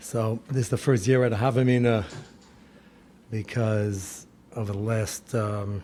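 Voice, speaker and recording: This man has a dark, mellow tone, medium pitch, and ordinary pitch variation. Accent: American. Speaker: rabbi. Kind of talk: lecture.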